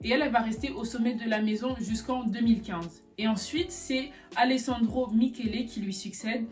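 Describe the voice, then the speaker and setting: With music playing in the background, a woman talks at a fairly quick pace in a fairly high voice. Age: 20s. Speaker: fashion YouTuber. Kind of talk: casual video explainer.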